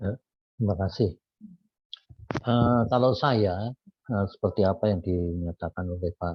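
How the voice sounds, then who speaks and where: Somewhat breathy and fairly low in pitch, a man speaks at a fairly slow pace with ordinary pitch variation. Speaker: Bible study participant. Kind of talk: testimony.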